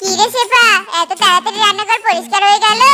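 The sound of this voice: The cartoonish character voice, extremely high in pitch, moves at a fairly quick pace with a monotone, flat intonation.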